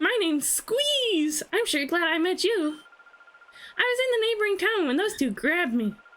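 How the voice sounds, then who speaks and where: A woman puts on a squeaky character voice at an extremely high pitch, speaking at a moderate pace with very even loudness. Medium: game stream. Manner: sweet, polite.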